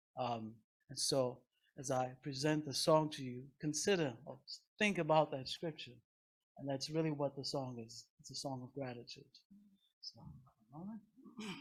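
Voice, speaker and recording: The speech comes at a moderate pace with long, frequent pauses and big swings in loudness. The voice is somewhat breathy, with ordinary pitch variation. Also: man, fairly high pitch for a man. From Nigeria. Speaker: guest singer. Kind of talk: church service introduction.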